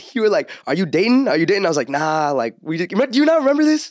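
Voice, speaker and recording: A man talking at a very fast pace in a very clean recording with a silent background. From California, Orange County. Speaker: podcaster. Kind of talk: casual chat.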